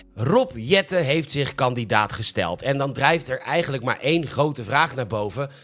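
With hardly any pauses, a man talks at a moderate pace in an ordinary speaking voice, his fairly high pitch carrying lively intonation. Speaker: podcast host, comedic news presenter. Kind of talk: satirical news monologue.

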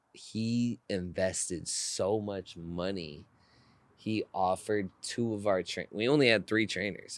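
A man with an American accent and a plain, everyday voice speaks at a fairly low pitch and a fairly slow pace, his intonation fairly even. The recording is very clean, with a silent background. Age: 20s. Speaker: athletic trainer. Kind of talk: casual chat.

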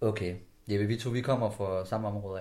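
Audible room echo surrounds a man with a dark, mellow tone. He speaks fairly slowly in a flat monotone. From West Jutland, Denmark (Skjern/Ringkøbing area). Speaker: podcast host. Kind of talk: interview.

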